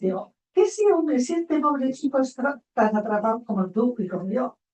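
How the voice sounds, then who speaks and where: A woman speaks at a moderate pace with lively intonation and a dark, mellow, somewhat breathy tone. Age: 80s+. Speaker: psychologist. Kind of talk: panel discussion.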